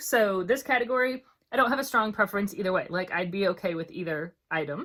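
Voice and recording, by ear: In a put-on character voice, a woman talks at a very fast pace, hoarse, at a medium pitch.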